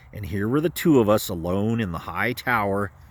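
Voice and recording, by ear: A natural voice reading text out loud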